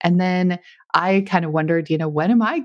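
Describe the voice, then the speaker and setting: An unremarkable speaking voice from a woman, fairly low in pitch, at a moderate pace. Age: 40s. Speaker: podcaster and motivational speaker. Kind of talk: interview podcast.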